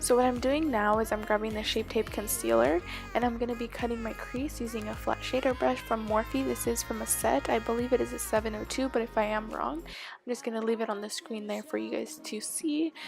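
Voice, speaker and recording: A woman talks at a fairly quick pace with hardly any pauses. Music plays in the background. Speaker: beauty vlogger. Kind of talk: makeup tutorial voice-over. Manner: soft, near whisper.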